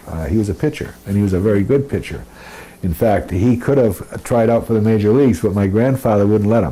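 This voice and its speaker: A man speaks at a very fast pace. His fairly low voice has ordinary pitch variation. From Lewiston, Maine. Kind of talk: interview answer.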